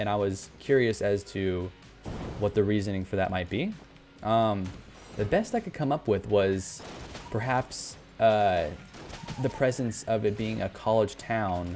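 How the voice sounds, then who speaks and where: With music in the background, a man with a fairly low pitch talks at a fairly slow pace, using ordinary pitch variation and long, frequent pauses. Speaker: gaming YouTuber. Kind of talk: gameplay commentary. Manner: stutter; halting.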